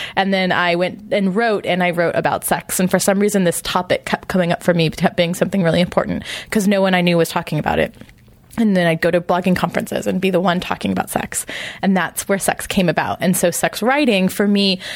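With an American accent, a woman has an unremarkable speaking voice at medium pitch. She talks at a fairly quick pace with fairly even intonation and very even loudness. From US West, Imperial County, California. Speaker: sex educator and writer. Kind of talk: interview conversation. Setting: at a conference.

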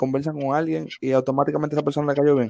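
Talking at a very fast pace, a man has a fairly high pitch and a dark, mellow tone. His intonation is monotone and flat. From Dominican Republic, Villa Faro. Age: 20s. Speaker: podcast co-host. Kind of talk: casual chat.

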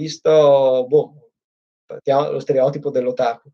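This man's voice has a dark, mellow tone. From Italy. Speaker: PhD student. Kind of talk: casual chat.

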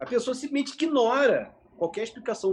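A man's lively intonation at a moderate pace. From Nova Friburgo, Rio de Janeiro state, Brazil. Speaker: photographer and videographer. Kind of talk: casual interview. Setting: studio, live stream.

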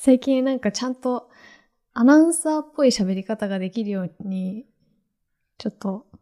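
Soft-spoken and dark, mellow in tone, a woman with a fairly high pitch speaks with lively intonation, big swings in loudness and long, frequent pauses, in a dry, close sound with no echo. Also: moderate pace, very clean recording, silent background. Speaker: podcast host. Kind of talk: casual chat.

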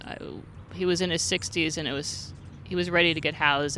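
A woman with an American accent talks at a very fast pace, her pitch varying in an ordinary way. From Santa Monica, California. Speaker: homeless outreach worker. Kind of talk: casual interview. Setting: outdoors by a fountain.

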